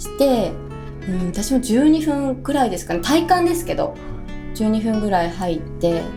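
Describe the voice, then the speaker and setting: Fairly quick speech from a woman with a fairly high pitch and very wide pitch swings, over music in the background. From Tokushima, Japan. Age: 30s. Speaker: radio personality. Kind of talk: casual radio talk.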